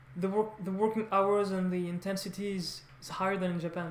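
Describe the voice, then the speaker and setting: A woman speaks with a French accent at a medium pitch. Her pace is fairly quick and her intonation fairly even. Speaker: language learner vlogger. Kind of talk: casual vlog monologue. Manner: halting, many false starts.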